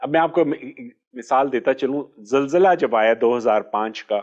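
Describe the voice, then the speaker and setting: An ordinary speaking voice from a man, medium in pitch with ordinary pitch variation, against a quiet background. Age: 60s. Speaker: orthopaedic surgeon. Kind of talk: interview.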